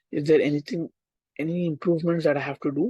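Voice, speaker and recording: A man speaks with an Indian accent in a dark, mellow tone at a fairly quick pace. His intonation stays fairly even, and the sound is dry and close with no echo. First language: Hindi. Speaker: online tutor. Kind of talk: casual chat; lecture. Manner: halting.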